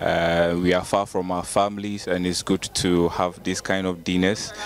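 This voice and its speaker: Very slow, monotone, flat speech over noticeable background noise. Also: man, very deep, low pitch for a man. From Ghana. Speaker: international medical student. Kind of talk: interview. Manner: hesitant, many fillers.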